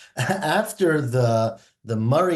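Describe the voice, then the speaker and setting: Somewhat breathy delivery with lively intonation. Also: man. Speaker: Talmud teacher. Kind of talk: lecture.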